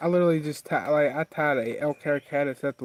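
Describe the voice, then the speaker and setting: A man with an American accent, in a dry, close sound with no echo. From southwest Virginia, Wise County. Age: 20s. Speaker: fly tying streamer. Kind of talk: casual livestream chat and tutorial.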